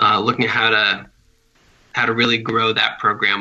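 A man is speaking. He has an American accent. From US Northeast. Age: young. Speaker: bike advocacy director. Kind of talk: interview. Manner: casual, frequent 'um' fillers.

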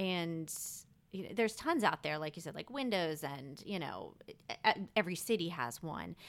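Speaking in a normal speaking voice with an American accent, a woman with a fairly low pitch talks at a moderate pace, her intonation lively and her loudness swinging widely. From Maryland, outside Washington DC. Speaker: Instagram photographer, stay-at-home mom. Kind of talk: casual interview.

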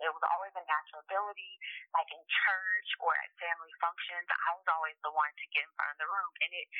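A woman with an American accent talks at a very fast pace. Her pitch is fairly low and her loudness swings widely. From Miami, Florida. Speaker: motivational speaker. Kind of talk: interview conversation.

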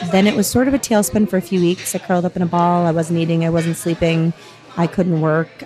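Music plays in the background as a woman speaks at a fairly quick pace. Her pitch is fairly low, with ordinary pitch variation. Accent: American. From US Northeast, southern New Hampshire. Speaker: physician assistant and amputee. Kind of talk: casual interview conversation.

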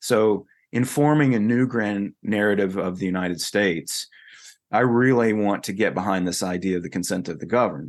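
Someone with a Southern US accent speaks at a moderate pace. The background is quiet. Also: man, fairly low pitch for a man, ordinary pitch variation. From North Carolina. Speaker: futurist and author. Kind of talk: interview conversation.

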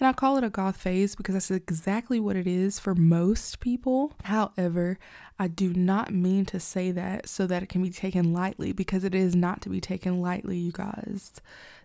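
Heard in a very clean recording with a silent background, a woman with an American accent and a dark, mellow tone speaks at a medium pitch and moderate pace, with fairly even intonation and hardly any pauses. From Alabama, US South. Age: 30s. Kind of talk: religious commentary.

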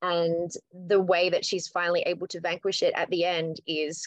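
A woman with an Australian accent speaks at a fairly low pitch. The sound is dry and close with no echo. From Australia, New South Wales. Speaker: rock band singer. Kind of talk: casual interview chat.

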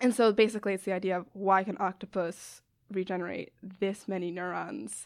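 This very clean recording, with a silent background, captures an ordinary speaking voice with an American accent and fairly even intonation. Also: woman. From US Northeast, Westchester, New York. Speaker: biology graduate student. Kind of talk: casual interview.

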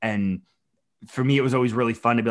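A man uses a normal speaking voice at a medium pitch with fairly even intonation, in a very clean recording with a silent background. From Minnesota, US. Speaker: thru-hiker and whiskey brand ambassador. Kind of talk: casual chat.

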